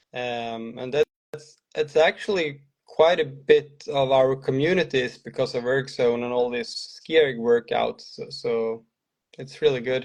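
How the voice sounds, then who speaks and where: A man's medium-pitched voice at a fairly slow pace, ordinary pitch variation and big swings in loudness. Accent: Swedish. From Sweden. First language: Swedish. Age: 40s. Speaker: cross-country ski coach. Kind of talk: interview. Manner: hesitant.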